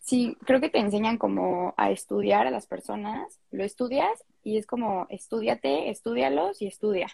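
A woman talks with hardly any pauses, recorded with a dry, close sound that has no echo. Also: moderate pace. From Mexico City. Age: young. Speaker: psychology student and content creator. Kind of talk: casual interview chat. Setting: Instagram live video stream.

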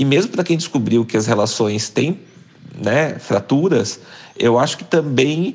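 At a fairly slow pace, the speaker's pitch swings very widely. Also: man. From Brazil, interior of Paraná (near Londrina). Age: 40s. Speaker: journalist and writer. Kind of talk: interview.

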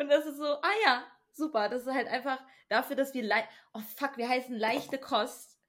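A woman with a high pitch and ordinary pitch variation keeps a moderate pace. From US (Texas) then Germany. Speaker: podcast co-host. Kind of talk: casual chat.

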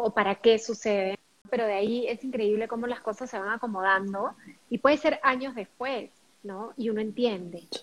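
This is a woman with an ordinary speaking voice and a fairly high pitch. She talks at a moderate pace with ordinary pitch variation. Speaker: podcast co-host. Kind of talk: casual chat.

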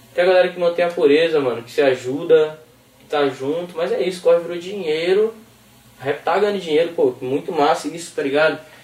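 Amid noticeable background noise, a man talks fairly quickly at a high pitch, with ordinary pitch variation and big swings in loudness. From Recife, Brazil, raised in São Paulo state. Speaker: rapper. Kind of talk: casual chat.

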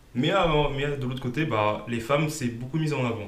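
Over noticeable background noise and audible room echo, a man with a medium pitch talks at a moderate pace. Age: 20s. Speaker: financial coach and former bank employee. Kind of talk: casual interview. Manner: hesitant, many fillers.

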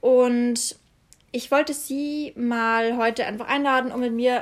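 This woman has a fairly high pitch and a monotone, flat delivery. She talks at a very slow pace. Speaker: podcast host, student. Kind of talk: casual chat.

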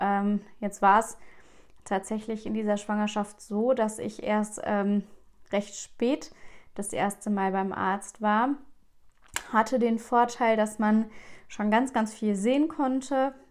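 Talking at a very slow pace with long, frequent pauses, a woman keeps a fairly high pitch and fairly even intonation. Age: 20s. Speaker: podcast host and family counselor. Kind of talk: personal monologue. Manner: hesitant, many filler sounds.

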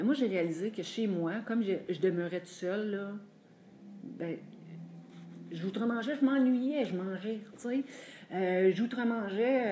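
A woman at a medium pitch talks very slowly with ordinary pitch variation amid noticeable background noise. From Quebec, Drummondville. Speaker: support group member sharing. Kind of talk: testimony.

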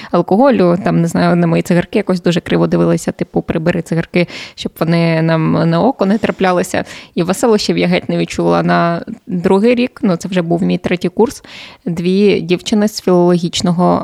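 The speech comes at a fairly quick pace. The sound is dry and close, with no echo. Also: woman. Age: 20s. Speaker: journalist and TV presenter. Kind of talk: casual chat.

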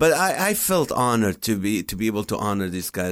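In a very clean recording with a silent background, a man speaks with a non-native accent. His pitch is fairly low and his pace fairly quick. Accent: foreign-accented English. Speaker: comedian and podcast host. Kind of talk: interview. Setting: studio.

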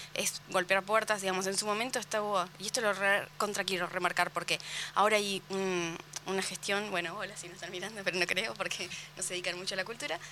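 A woman talks at a medium pitch. Her pace is very fast. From Argentina, Carmen de Patagones. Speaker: book fair organizer. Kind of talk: casual chat. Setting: radio studio.

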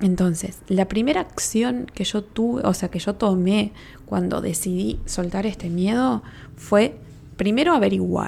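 A woman with a Uruguayan accent speaks at a fairly slow pace and medium pitch. Her voice is somewhat breathy, with ordinary pitch variation. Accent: Rioplatense Spanish (Uruguayan). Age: 30s. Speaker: podcast host, spiritual therapist. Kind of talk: casual solo podcast talk.

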